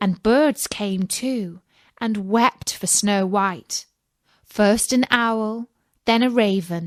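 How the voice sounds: Heard over a quiet background is a natural reading voice.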